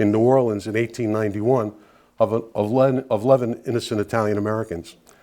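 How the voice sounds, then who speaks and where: A man with a Brooklyn accent talks at a very fast pace in a dark, mellow voice of medium pitch, his intonation fairly even. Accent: New York (Brooklyn). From New York City, Brooklyn (Bensonhurst). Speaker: guest speaker, Italian-American advocate. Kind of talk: public talk to an audience. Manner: conversational, with frequent fillers.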